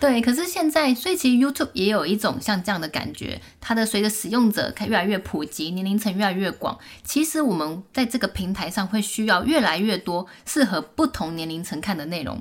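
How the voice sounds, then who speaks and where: At a fairly quick pace, a woman with a medium pitch and a somewhat breathy voice makes very wide pitch swings. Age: 30s. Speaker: YouTuber. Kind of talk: casual interview.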